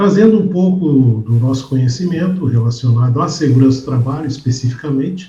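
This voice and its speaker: A man talks with lively intonation and a dark, mellow tone. His voice is somewhat breathy. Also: medium pitch for a man, fairly quick pace, very even loudness. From southern Brazil, Porto Alegre. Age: 60s. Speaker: safety instructor and professor. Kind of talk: interview.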